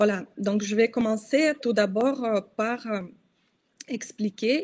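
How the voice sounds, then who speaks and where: Very slowly and somewhat breathily, a woman speaks in a Russian accent at a fairly high pitch with ordinary pitch variation. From Russia, Kostroma. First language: Russian (speaking French). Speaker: journalist and activist. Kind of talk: interview. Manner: halting, many hesitations.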